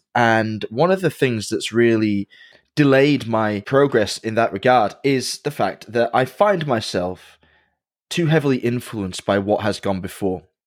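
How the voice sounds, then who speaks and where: Captured in a very clean recording with a silent background, a man at medium pitch talks with lively intonation. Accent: English. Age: 30s. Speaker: watchmaker and podcast host. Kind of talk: casual chat.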